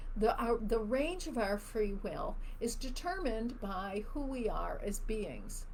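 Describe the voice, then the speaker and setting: Audible room echo surrounds a woman speaking at a fairly slow pace. Her tone is animated, with very wide pitch swings. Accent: American. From US Midwest, Chicago. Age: 60s. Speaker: spiritual teacher. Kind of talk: live Q&A stream. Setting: live video stream.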